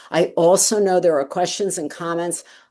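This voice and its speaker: A woman speaks with a fairly low pitch and fairly even intonation against a quiet background. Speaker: healthcare policy speaker, case management educator. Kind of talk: webinar presentation.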